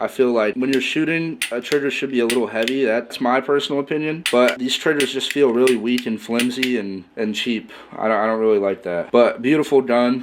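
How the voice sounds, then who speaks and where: A man at medium pitch with ordinary pitch variation, a fairly quick pace and hardly any pauses, over noticeable background noise. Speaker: gun collection video host. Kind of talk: casual talk to camera.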